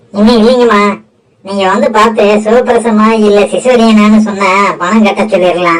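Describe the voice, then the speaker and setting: This put-on character voice holds a very even loudness and a fairly even intonation. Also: woman, medium pitch for a woman, moderate pace. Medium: audio drama.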